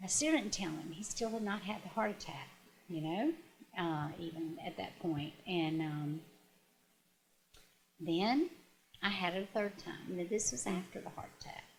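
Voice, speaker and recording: A somewhat breathy woman's voice of medium pitch, at a moderate pace with long, frequent pauses and ordinary pitch variation. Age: 60s. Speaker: retired teacher and guest sharing grief story. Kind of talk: interview testimony. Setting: on-location video interview. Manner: halting, with frequent fillers and restarts.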